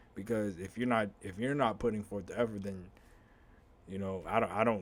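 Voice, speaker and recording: Speaking fairly quickly, a man uses a plain, everyday voice with fairly even intonation. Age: 30s. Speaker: podcast host. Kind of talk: casual monologue.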